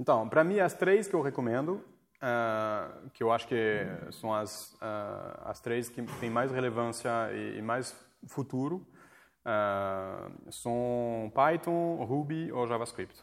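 With music in the background, a man of medium pitch speaks at a very slow pace with lively intonation. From France. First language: French (speaking Portuguese). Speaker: coding school leader. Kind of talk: casual interview. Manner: halting.

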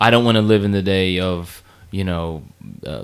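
Fairly low in pitch, a man talks in an unremarkable speaking voice with fairly even intonation. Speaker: podcast co-host. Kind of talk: casual chat.

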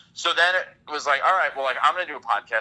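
A man rattles along at a very fast pace in an American accent. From New York City, Bronx (City Island). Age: 30s. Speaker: sports writer and podcaster. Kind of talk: casual chat.

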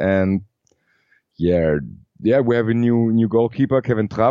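A man at medium pitch and moderate pace, with a German accent. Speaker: football fan and podcaster. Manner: halting, hesitant.

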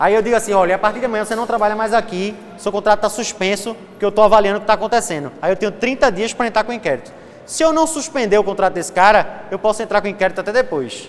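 Amid noticeable background noise, a man with a Pernambuco accent speaks very fast in a high voice with an animated tone. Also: ordinary pitch variation. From Recife, Brazil. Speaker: law lecturer. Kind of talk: lecture.

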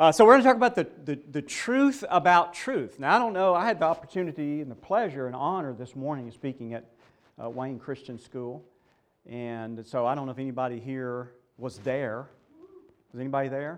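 A man with fairly high pitch and lively intonation, talking at a fairly quick pace with big swings in loudness. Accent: Southern US. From US South, Mississippi. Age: 60s. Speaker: seminary professor. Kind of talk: conference lecture.

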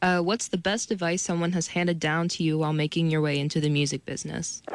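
An unremarkable speaking voice: a woman with an American accent talks at a fairly quick pace in a fairly low pitch with ordinary pitch variation, on a very clean recording with a silent background. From Ohio. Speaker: student co-host. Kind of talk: reading listener questions.

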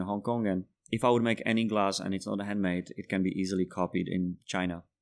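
A man with a Czech accent speaks at a fairly quick pace in a fairly low pitch, his intonation fairly even, on a very clean recording with a silent background. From Czech Republic. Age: 30s. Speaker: bartender. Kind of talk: casual chat.

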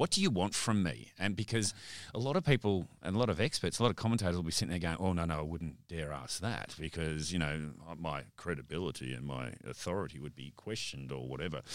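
A man with an Australian accent talks at a very fast pace with a very deep, low voice, vocal fry and lively intonation. The recording is very clean, with a silent background. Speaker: podcast host, media agency director. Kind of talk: casual interview.

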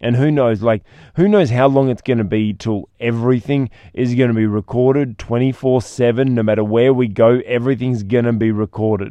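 A man's medium-pitched voice at a moderate pace. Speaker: podcast host and speaker trainer. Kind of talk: solo podcast monologue. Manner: occasional stumbles over words.

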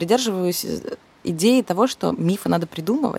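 The sound is dry and close, free of echo. A woman talks at a moderate pace, her pitch varying in an ordinary way. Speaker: cultural manager and curator. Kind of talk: interview. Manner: hesitant, many fillers.

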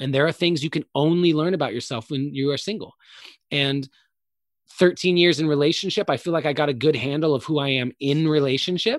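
A man with a normal speaking voice, a fairly high pitch, and ordinary pitch variation, in a dry, close sound with no echo on a very clean recording with a silent background. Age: 30s. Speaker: speaker and performer. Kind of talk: casual chat.

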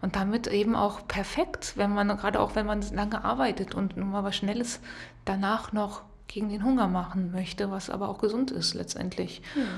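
Amid noticeable background noise, the speaker moves at a moderate pace with ordinary pitch variation. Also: woman, medium pitch for a woman. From Rhineland, western Germany. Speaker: podcast co-host. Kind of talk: casual chat.

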